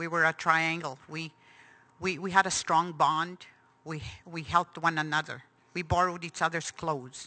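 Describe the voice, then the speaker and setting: A woman speaks with a bright, sharp tone at a fairly low pitch. Her intonation is fairly even, and the background is quiet. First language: Cree. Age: 60s. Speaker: residential school survivor. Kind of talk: testimony. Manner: halting.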